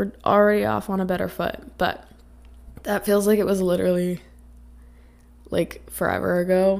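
Raspy with vocal fry, a woman speaks at fairly low pitch in a slightly mellow tone. Her pace is moderate.

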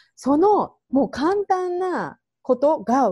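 A dark, mellow tone comes across in a dry, close sound with no echo. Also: woman. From Japan. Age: 40s. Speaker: hairdresser and self-care mentor. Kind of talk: interview.

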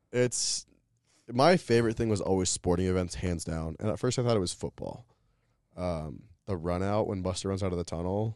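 Against a quiet background, a man speaks with an American accent at a very deep, low pitch. He moves at a fairly quick pace with ordinary pitch variation. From Colorado. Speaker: college mascot performer. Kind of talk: casual chat.

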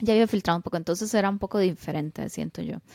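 A woman's medium-pitched voice with a Costa Rican accent, dark and mellow in tone, with ordinary pitch variation, in a dry, close sound with no echo and a very clean recording with a silent background. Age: 30s. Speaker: podcast co-host, engineer. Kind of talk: casual chat.

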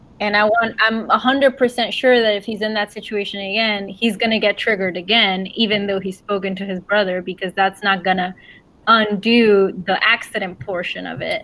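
A woman with a Spanish accent, at a moderate pace, with fairly even intonation. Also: medium pitch for a woman. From Puerto Rico. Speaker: book club podcast co-host, author. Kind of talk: casual chat.

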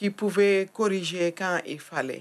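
A woman's medium-pitched voice at a very slow pace. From Senegal, Thiès. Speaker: community activist. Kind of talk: testimony.

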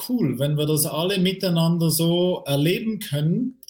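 The man's pitch is high. He speaks at a moderate pace. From Switzerland. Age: 50s. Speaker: career coach. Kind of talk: interview about a near-death experience. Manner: halting.

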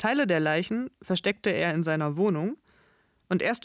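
A woman with a plain, everyday voice talks at a moderate pace and medium pitch, her intonation lively. The sound is dry and close with no echo, a very clean recording with a silent background. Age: 30s. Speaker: podcast host, language and culture teacher. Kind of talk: scripted narration for language learners. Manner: clear, measured.

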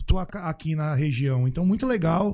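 Somewhat breathy, with a dark, mellow tone, a man speaks at a fairly high pitch with ordinary pitch variation. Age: 40s. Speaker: singer. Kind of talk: casual chat.

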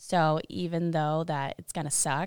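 Heard in a very clean, dry, close recording with no echo and a silent background, a woman with an American accent speaks at a moderate pace in a fairly low voice. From Indiana. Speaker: college athlete. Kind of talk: interview.

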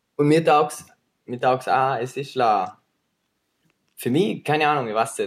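This is an ordinary speaking voice, delivered at a fairly slow pace with ordinary pitch variation. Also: man. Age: 20s. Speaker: videographer and filmmaker. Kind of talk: casual chat.

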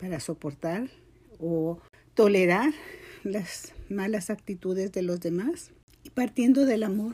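In a very clean recording with a silent background, a woman speaks fairly slowly at a medium pitch, her dark, mellow tone somewhat breathy, with ordinary pitch variation. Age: 70s. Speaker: former schoolteacher and holistic therapist. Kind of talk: testimony.

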